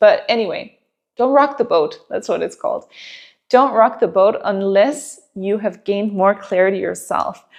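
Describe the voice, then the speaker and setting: A woman speaks at a moderate pace with a Danish accent. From Denmark. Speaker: relationship coach. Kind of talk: advice monologue to camera. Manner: conversational, with some hesitations.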